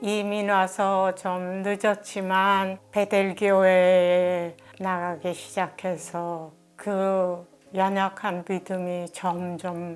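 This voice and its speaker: Over music in the background, a woman speaks very slowly at a medium pitch in a monotone, flat way. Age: 80s+. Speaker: church deaconess. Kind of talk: interview answer.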